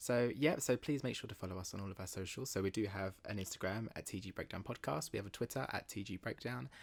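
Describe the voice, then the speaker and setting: Hardly pausing, a man with a British accent speaks at a very fast pace with lively intonation and a fairly low pitch. The recording is very clean with a silent background. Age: 20s. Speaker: podcast co-host. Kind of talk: casual chat. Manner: loud.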